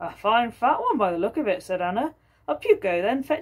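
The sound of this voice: What you hear is an unforced reading voice.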